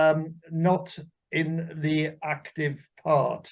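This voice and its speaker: This man speaks at a very slow pace with a fairly high pitch. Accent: Welsh. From Wales. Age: 80s+. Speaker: armed forces veteran. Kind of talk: casual interview.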